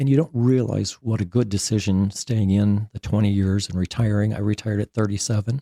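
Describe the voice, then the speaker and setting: A man with an American accent talks at a fairly quick pace with hardly any pauses, his tone dark and mellow. His pitch is fairly low and his intonation fairly even, in a dry, close sound with no echo. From Wisconsin, US Midwest. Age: 60s. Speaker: army veteran, retired drill sergeant. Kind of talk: interview. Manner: casual, halting.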